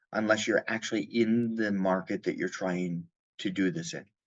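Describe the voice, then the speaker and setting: Speaking in a plain, everyday voice with an American accent, a man keeps a moderate pace at a fairly low pitch, with ordinary pitch variation. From United States. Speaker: insurance company chief executive. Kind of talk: podcast interview.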